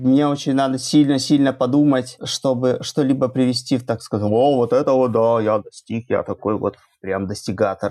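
A man's dark, mellow tone at a moderate pace with fairly even intonation, in a very clean recording with a silent background. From Belarus. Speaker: web developer. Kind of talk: casual interview. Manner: halting, repeats words.

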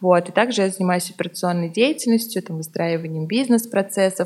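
A woman with a fairly low pitch talks at a fairly quick pace against noticeable background noise. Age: 20s. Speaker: co-founder of a resale platform. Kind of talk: interview.

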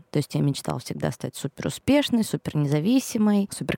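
Dark and mellow, a woman's voice moves at a fairly quick pace with very wide pitch swings. The sound is dry and close, with no echo. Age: 30s. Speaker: podcast host and mother of two. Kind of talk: casual chat.

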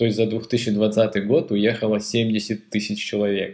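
Fairly low for a man, this voice moves at a very slow pace with fairly even intonation. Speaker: podcast co-host. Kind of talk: casual chat.

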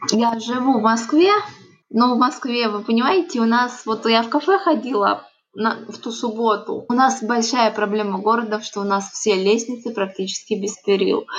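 A woman speaks at a moderate pace in an ordinary speaking voice. Her pitch is fairly high, with ordinary pitch variation. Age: 30s. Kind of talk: interview testimony.

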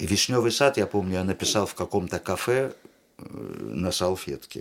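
With very wide pitch swings, a man's speech unfolds at a fairly slow pace. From Uzbekistan, Tashkent. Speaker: theatre director and actor. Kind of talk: casual interview chat. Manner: animated.

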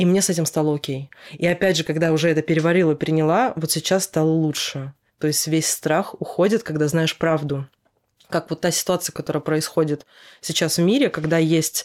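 A woman talks fairly quickly in a very deep, low voice. Her loudness stays very even and her intonation fairly even. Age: 30s. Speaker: hairdresser. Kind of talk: casual chat.

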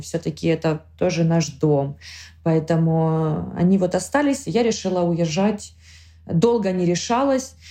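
A dark, mellow, somewhat breathy tone at a moderate pace. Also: woman. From Ukraine, Kharkiv. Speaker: war refugee. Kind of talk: personal testimony.

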